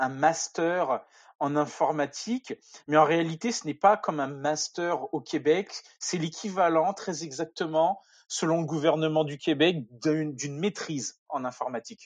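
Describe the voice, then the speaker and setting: A man with a fairly high pitch speaks very slowly, with ordinary pitch variation, against a quiet background. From France, near Paris. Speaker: software developer. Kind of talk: technical interview.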